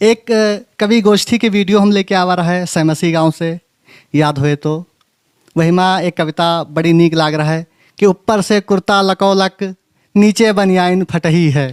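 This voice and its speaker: Recorded dry and close with no echo, a high-pitched man speaks with fairly even intonation. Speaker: YouTube host of Awadhi culture channel. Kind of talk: channel intro to camera.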